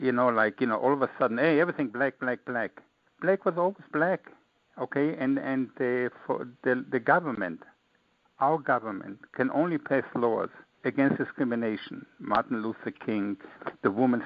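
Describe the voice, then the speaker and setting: A man with an American accent talks at a moderate pace in a medium pitch, using ordinary pitch variation. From Israel, Austria, then Brooklyn, New York. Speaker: author. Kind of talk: interview. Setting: online radio show. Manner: animated.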